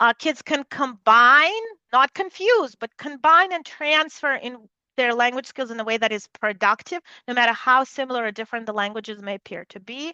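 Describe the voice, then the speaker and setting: With a Russian accent, a high-pitched woman speaks at a moderate pace in a bright, sharp tone, her intonation lively and her loudness swinging widely, recorded dry and close with no echo against a quiet background. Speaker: neuroscience researcher. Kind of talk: lecture.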